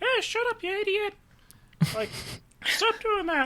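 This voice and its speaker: A put-on character voice, extremely high in pitch, moves along at a fairly slow pace. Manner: gruff, scolding.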